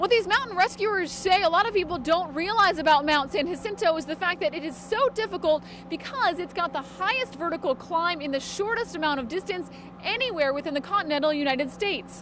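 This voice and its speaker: Noticeable background noise sits under a woman whose extremely high voice moves at a fairly quick pace with lively intonation. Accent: American. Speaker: television news reporter and anchor. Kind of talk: TV news reporter package. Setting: on-location field reporting.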